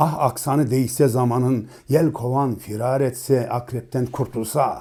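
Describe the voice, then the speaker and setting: Medium-pitched male voice, somewhat breathy and dark and mellow in tone, with fairly even intonation at a fairly slow pace. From eastern Turkey, Dersim. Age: 40s. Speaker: poet and musician. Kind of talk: poetry reading.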